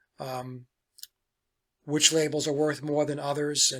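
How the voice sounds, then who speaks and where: A man speaks in a bright, sharp tone. His intonation is monotone and flat. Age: 60s. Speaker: musician and guitar collector. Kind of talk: casual show-and-tell talk. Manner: digressive, with many fillers.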